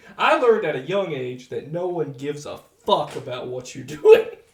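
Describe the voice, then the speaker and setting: Noticeable background noise sits behind a man talking at a fairly quick pace, his high-pitched voice full of lively intonation. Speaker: podcast co-host. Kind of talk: casual chat. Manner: loud.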